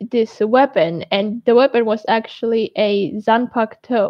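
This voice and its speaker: Speaking at a fairly slow pace with a Georgian accent, a woman uses lively intonation at a fairly high pitch. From United States (moved from Georgia at age six). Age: 20s. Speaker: anime YouTuber. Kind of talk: live stream Q&A. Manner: halting, many repeated words and fillers.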